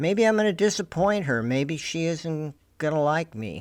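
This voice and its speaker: A man's voice is captured in a very clean recording against a silent background. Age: 70s. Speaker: war veteran, video blogger. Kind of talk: personal video diary, reminiscing. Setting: aboard an airplane. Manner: unrehearsed, halting with fillers.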